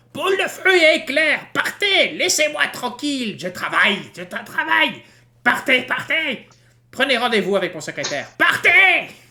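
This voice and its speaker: A put-on character voice, female-sounding and high-pitched, is heard. It moves at a moderate pace. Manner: cackling, mocking, then shooing people away.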